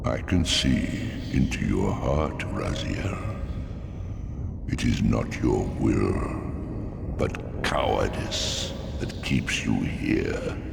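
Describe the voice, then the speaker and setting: A man uses a cartoonish character voice at a very slow pace with long, frequent pauses. Loud background noise sits behind him. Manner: grandiose, preaching.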